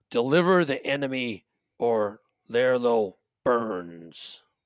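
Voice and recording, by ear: A man's gruff, put-on character voice at medium pitch, with lively intonation and a very slow pace, on a very clean recording with a silent background.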